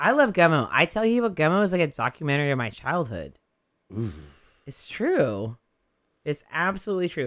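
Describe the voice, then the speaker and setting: On a very clean recording with a silent background, a man with a fairly high pitch uses very wide pitch swings and long, frequent pauses. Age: 40s. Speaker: radio DJ and barber. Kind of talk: casual chat.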